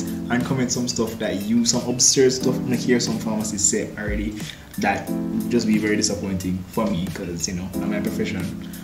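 Loud music plays behind a man who speaks fairly quickly in a Jamaican accent. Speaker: pharmacist. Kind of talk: casual talk to camera. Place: home room. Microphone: camera far.

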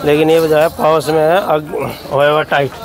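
A man's fairly high pitch with little pitch movement, a moderate pace and faint background noise.

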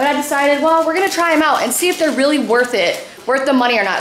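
Speaking at a very fast pace, a woman is heard with audible room echo and light background noise. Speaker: family vlogger mom. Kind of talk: casual vlog chat. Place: kitchen. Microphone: phone near.

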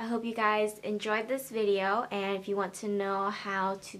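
This woman's pitch is fairly high. She talks at a fairly slow pace. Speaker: beauty vlogger. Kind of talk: makeup tutorial talk to camera. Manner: quiet, soft-spoken. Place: home room. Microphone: phone near.

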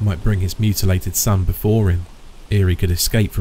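A natural reading voice, delivered with fairly even intonation.

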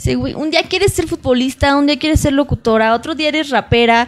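Her pace is fairly quick. The woman's intonation stays lively throughout. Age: 20s. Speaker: radio announcer and model. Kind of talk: casual interview.

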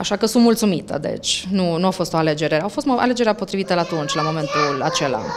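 Against noticeable background noise, a woman talks very fast with hardly any pauses. Her fairly low voice has lively intonation. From Romania. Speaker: language center owner, author; interviewee. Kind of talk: interview. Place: shop. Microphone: handheld.

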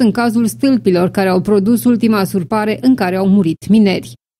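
A serious woman's voice, fairly high in pitch, with a dark, mellow tone. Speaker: news presenter. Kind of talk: news reading, scripted broadcast delivery. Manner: formal, even and measured; serious, neutral reporting tone.

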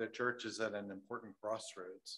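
A man talks at a moderate pace in a medium pitch, his tone bright and sharp. His intonation is fairly even, and the background is quiet. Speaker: church member. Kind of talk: testimony. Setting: church. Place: church. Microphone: podium.

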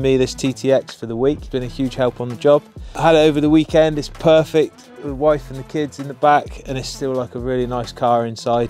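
A man at a very fast pace with fairly even intonation, faint music in the background and a dry sound with no echo. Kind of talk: casual vlog chat. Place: open country.

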